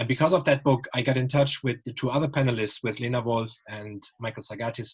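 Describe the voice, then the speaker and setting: A man talks with a German accent. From Germany. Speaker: writer and panel moderator. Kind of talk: online panel discussion. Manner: hesitant, many fillers.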